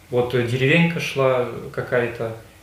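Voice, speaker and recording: Noticeable background noise and audible room echo surround a man speaking at medium pitch with fairly even intonation. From Russia, Mordovia. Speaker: prisoner of war. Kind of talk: interrogation interview. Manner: loud; halting.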